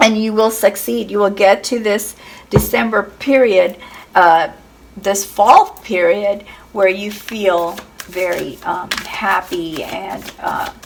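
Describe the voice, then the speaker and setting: Noticeable background noise sits behind a woman's voice. She speaks at a very slow pace with ordinary pitch variation. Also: medium pitch for a woman. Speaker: tarot reader. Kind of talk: tarot reading. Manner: hesitant, many fillers.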